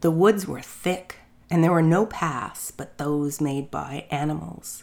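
At a fairly slow pace, a woman speaks in a warm, playful tone with a fairly low pitch. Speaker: storyteller. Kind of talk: fairy tale narration. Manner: animated, storybook-style.

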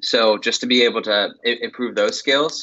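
A man with an American accent speaks in a plain, everyday voice at a medium pitch. His pace is moderate and his pitch variation ordinary. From Pittsburgh, Pennsylvania. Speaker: sales engineer, former offshore mudlogger. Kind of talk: interview.

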